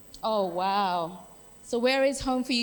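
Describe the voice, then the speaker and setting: A woman's fairly high, lively voice at a very slow pace, on a very clean recording with a silent background. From Australia. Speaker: workshop facilitator. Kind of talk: workshop facilitation. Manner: animated.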